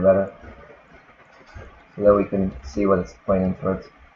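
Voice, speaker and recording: Fairly quick male speech with noticeable background noise behind it. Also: long, frequent pauses. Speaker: programming instructor. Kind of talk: tutorial. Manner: casual, with many fillers.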